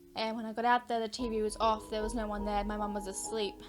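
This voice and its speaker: Over background music, a woman with a fairly high pitch speaks in a monotone, flat intonation. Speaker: horror storytime YouTuber. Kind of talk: casual personal storytime to camera. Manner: breathless, many pauses.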